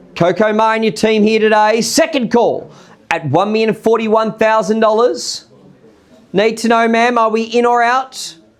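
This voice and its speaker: A man speaks with an Australian accent at a high pitch and a moderate pace, his intonation fairly even. His loudness stays very even over noticeable background noise. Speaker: auctioneer. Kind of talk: live auction calling.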